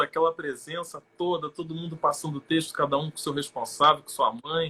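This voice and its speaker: A man with a bright, sharp tone. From Rio de Janeiro state, Brazil (São Gonçalo). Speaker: actor. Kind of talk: interview on a live stream.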